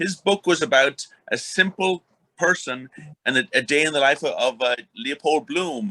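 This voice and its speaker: With an Irish accent, a man speaks in a fairly high pitch and a bright, sharp tone, with ordinary pitch variation. His pace is moderate, and the sound is dry and close with no echo. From Ireland. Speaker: podcast co-host. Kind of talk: interview. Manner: halting.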